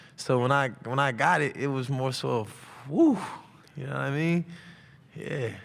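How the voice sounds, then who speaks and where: Fairly high in pitch, a man speaks at a moderate pace with ordinary pitch variation and long, frequent pauses. Audible room echo surrounds him. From US South, Atlanta, Georgia. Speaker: college football player. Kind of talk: press conference Q&A. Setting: media day press room. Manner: loud.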